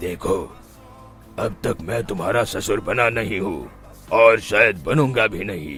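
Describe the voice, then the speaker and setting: A man's cartoonish character voice at a fairly slow pace, with clear music in the background. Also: medium pitch for a man. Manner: authoritative.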